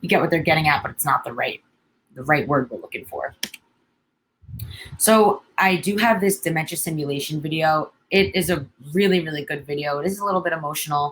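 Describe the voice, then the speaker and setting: A woman's fairly low voice at a fairly quick pace, with ordinary pitch variation and long, frequent pauses. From New York. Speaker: social worker. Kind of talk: educational webinar presentation. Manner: frequent fillers and hesitations.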